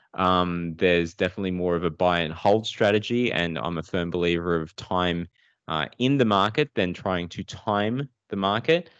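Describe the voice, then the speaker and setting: With an Australian accent, a man speaks at a moderate pace in a very deep, low voice with ordinary pitch variation. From Sydney, Australia (born Philippines, moved at two). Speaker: data analytics entrepreneur. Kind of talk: interview.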